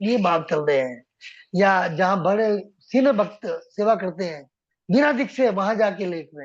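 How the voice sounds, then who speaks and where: A man's high voice with lively intonation against a quiet background. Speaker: devotional lecturer. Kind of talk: religious lecture. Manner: humble, folded-hands tone.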